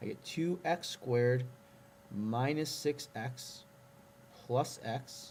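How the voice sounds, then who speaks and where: A somewhat breathy man at a very slow pace, with a medium pitch and lively intonation. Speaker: math teacher. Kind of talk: tutorial.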